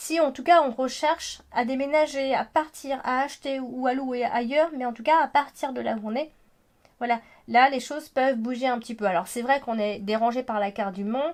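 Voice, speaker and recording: High-pitched woman's voice at a moderate pace, with ordinary pitch variation and a quiet background. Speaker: astrologer and tarot reader. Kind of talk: horoscope reading. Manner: hesitant with many fillers.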